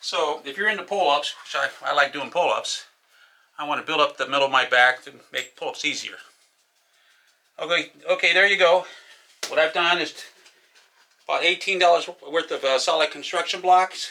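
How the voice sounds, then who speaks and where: A man with a high voice speaks at a moderate pace with ordinary pitch variation. Long, frequent pauses and big swings in loudness run through it. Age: 60s. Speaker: retiree, home gym enthusiast. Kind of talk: casual talk to camera, DIY demo.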